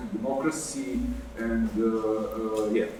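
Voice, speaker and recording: A man with a South Slavic accent speaks at a fairly slow pace with fairly even intonation, amid noticeable background noise and audible room echo. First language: not English. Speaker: activist researcher. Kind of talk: panel talk. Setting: stage with live audience. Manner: halting, many fillers.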